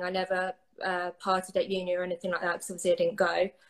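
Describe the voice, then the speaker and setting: With an English accent, a woman talks at a very fast pace. Her pitch is medium. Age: 20s. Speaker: guest sharing recovery story. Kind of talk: interview.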